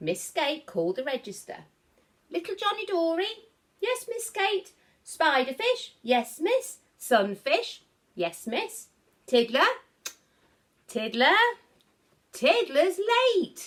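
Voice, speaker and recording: Putting on a squeaky character voice at an extremely high pitch, a woman speaks very slowly with very wide pitch swings and long, frequent pauses. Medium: read story.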